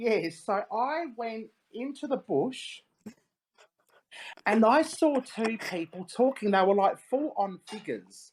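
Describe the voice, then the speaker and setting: This woman has an Australian accent and a medium pitch with vocal fry. Her pitch swings very widely. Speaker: paranormal investigator. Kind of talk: interview.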